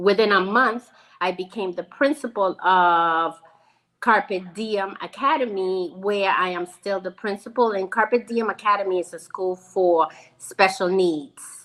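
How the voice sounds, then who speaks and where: An ordinary speaking voice with an American accent moves at a fairly slow pace. Pitch variation is ordinary. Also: woman, medium pitch for a woman. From Venezuela, then New York from childhood. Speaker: school principal and foundation founder. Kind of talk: interview.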